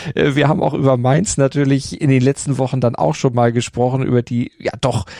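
A man speaks at medium pitch and a moderate pace in a dark, mellow tone. The sound is dry and close, with no echo. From Hamburg. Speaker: podcast host. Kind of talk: casual chat.

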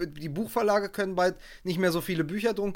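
A man delivers his words very rapidly, his pitch moving in an ordinary way, on a very clean recording against a silent background. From Germany, West Berlin. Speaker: journalist and podcaster. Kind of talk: casual chat.

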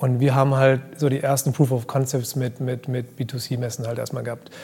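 A man with monotone, flat intonation. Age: 30s. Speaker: fashion brand founder. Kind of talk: casual chat. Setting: live event recording.

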